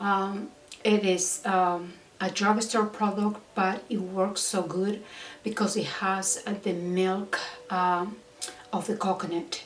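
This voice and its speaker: Amid noticeable background noise and audible room echo, a woman speaks at a very slow pace with fairly even intonation. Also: medium pitch for a woman. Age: 60s. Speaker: beauty and fashion vlogger. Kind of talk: casual vlog talk and product review. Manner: halting with many fillers.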